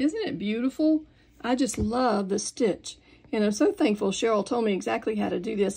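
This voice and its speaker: With lively intonation and a dark, mellow tone, a woman with a fairly high pitch speaks at a moderate pace. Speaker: sewing instructor. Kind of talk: tutorial.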